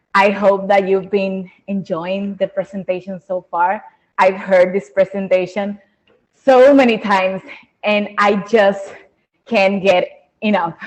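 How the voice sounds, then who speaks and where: Speaking at a very slow pace, a woman with a Spanish accent holds a medium pitch in a monotone, flat intonation. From Dominican Republic. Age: 20s. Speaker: conservation biologist presenter. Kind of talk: webinar presentation.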